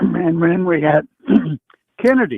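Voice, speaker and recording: A man speaks with a high voice. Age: 80s+. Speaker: caller. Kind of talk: call-in political chat. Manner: halting.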